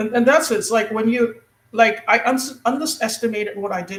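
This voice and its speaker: A woman's somewhat breathy voice at a fairly quick pace. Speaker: guest on a spiritual talk show. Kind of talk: casual conversation. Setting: live internet radio stream. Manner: halting, stumbling with many fillers.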